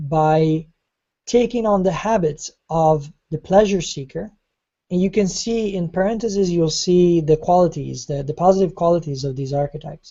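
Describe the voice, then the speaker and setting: Delivered at a moderate pace, an unremarkable speaking voice rises and falls in an ordinary way. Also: woman. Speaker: online course teacher. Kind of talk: online class lecture.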